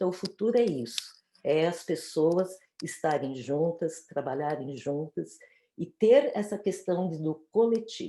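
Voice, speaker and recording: Speaking at a fairly slow pace, a woman with a fairly low pitch and a dark, mellow tone uses lively intonation. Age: 60s. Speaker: panelist in online talk. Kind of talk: panel discussion.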